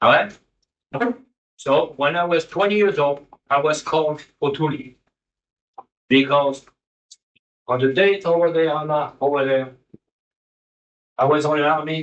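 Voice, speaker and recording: A man with a French accent and a fairly high pitch speaks at a fairly slow pace, keeping his intonation fairly even and leaving long, frequent pauses. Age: 70s. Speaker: war veteran. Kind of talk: testimony.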